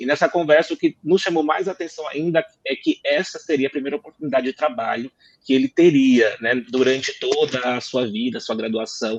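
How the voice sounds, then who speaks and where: A man speaks at a fairly quick pace with a fairly high pitch and ordinary pitch variation. The sound is dry and close, with no echo. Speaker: lawyer, law firm partner. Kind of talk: panel discussion. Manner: fast.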